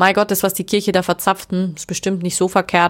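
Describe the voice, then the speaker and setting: A woman speaks at a very fast pace. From rural Germany. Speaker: podcast host, sex coach. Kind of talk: personal storytelling monologue.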